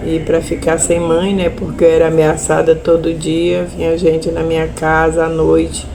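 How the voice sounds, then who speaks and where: A woman speaks with hardly any pauses. Audible room echo and noticeable background noise surround her voice. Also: moderate pace. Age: 70s. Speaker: widow of a murdered union leader, land-conflict witness. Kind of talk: testimony.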